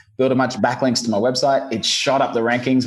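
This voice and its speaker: A man with a slight Australian accent speaks at a medium pitch. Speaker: SEO business owner. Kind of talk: podcast interview.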